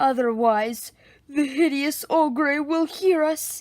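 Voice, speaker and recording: A woman's put-on character voice, high in pitch, at a very slow pace, on a very clean recording with a silent background. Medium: read story. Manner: grandiose, adventurous.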